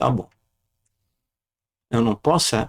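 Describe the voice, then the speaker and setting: A man talks at a fairly slow pace. His voice has vocal fry. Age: 70s. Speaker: retiree and amateur surfer. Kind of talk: casual podcast interview.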